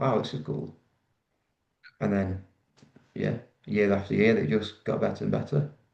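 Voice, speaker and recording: At a moderate pace, a man talks with a Mancunian accent. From Manchester, northern England. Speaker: rugby league player. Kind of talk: podcast interview.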